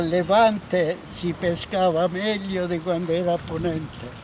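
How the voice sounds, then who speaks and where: At a very slow pace, a man speaks in a high pitch with fairly even intonation, the sound dry with no echo but with noticeable background noise. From Castro, Salento, southern Italy. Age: 80s+. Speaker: fisherman. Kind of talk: interview answer. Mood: warm, nostalgic. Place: waterside.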